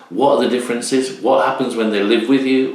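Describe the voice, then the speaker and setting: Noticeable background noise behind a man's flat, monotone intonation. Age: 50s. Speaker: YouTube channel host. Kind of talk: casual talk to camera.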